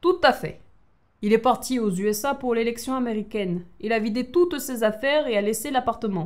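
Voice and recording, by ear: Reading aloud in a natural voice, pitch rising and falling by ordinary amounts.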